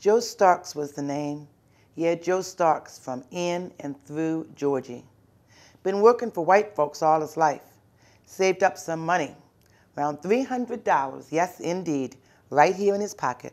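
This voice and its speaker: On a very clean recording with a silent background, a woman with an unremarkable speaking voice speaks at a fairly slow pace and a fairly low pitch with lively intonation. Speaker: college professor and author. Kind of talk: literary narration.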